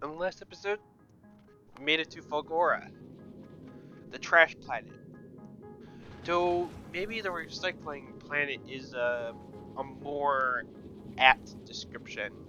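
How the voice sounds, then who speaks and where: A fairly high-pitched man at a fairly slow pace, with ordinary pitch variation, big swings in loudness and music in the background. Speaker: video game let's player. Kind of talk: casual gameplay commentary.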